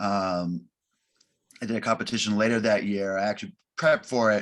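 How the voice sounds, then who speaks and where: Recorded very cleanly against a silent background, a man with an American accent speaks at a fairly low pitch with fairly even intonation. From Boston, Massachusetts, US. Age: 30s. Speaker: strongman athlete. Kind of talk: interview. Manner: halting, many fillers and restarts.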